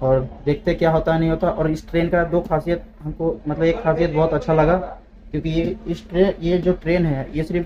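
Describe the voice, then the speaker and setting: A man's high voice at a moderate pace, with light background noise. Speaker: travel vlogger. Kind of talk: casual vlog chat. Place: train. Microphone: phone near.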